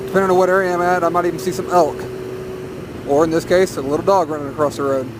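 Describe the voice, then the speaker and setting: A man with an American accent speaks at a very fast pace in a high pitch, with ordinary pitch variation. He leaves long, frequent pauses, and there is noticeable background noise. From US South, northern Arkansas. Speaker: motovlogger. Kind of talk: casual vlog monologue while riding. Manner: rambling, hesitant with repetitions.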